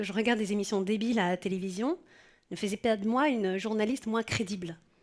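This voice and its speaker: With a southern French accent, a woman talks fairly quickly at a fairly high pitch in a very clean recording with a silent background. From southern France. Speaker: journalist. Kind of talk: personal testimony. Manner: casual, conversational.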